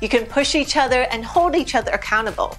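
With faint music in the background, a woman speaks at a fairly quick pace in a high pitch. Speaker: presenter. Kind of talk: scripted tips presentation.

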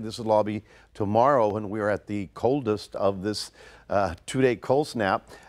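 Moderate pace and ordinary pitch variation. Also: man.

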